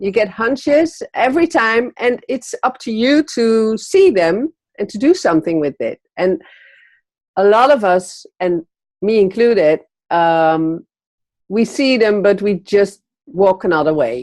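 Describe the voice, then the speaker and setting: In a Dutch accent, the voice moves at a fairly slow pace with very wide pitch swings, in a dry, close sound with no echo. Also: woman, fairly high pitch for a woman. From Netherlands. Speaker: magazine publisher. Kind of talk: interview. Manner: hesitant, many fillers.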